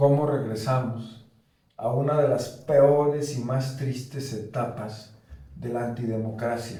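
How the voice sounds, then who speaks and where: Audible room echo surrounds a somewhat breathy voice with a dark, mellow tone, moving at a very slow pace with ordinary pitch variation. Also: man. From Córdoba, Veracruz, Mexico. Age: 60s. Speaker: political commentator. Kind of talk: panel discussion. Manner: emphatic.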